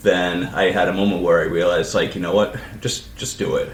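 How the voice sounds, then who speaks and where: Moderately paced male speech amid noticeable background noise and audible room echo. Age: 40s. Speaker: podcast co-host, librarian. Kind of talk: casual chat.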